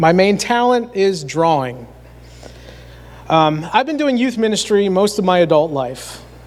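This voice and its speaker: In a Pennsylvania accent, a man with a high voice speaks at a fairly slow pace, his pitch swinging very widely and his pauses long and frequent. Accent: rural Pennsylvania American. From north central Pennsylvania. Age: 40s. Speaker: youth minister. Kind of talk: sermon.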